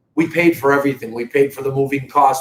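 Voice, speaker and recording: A man speaks at a very fast pace in a fairly high voice. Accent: Boston. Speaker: real estate company owner. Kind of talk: live stream talk to viewers. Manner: conversational, animated.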